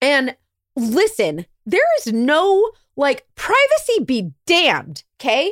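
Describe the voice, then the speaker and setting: In a very clean, dry and close recording with no echo and a silent background, a woman speaks in an animated tone with very wide pitch swings. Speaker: podcast host and investigator. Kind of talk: casual chat and storytelling.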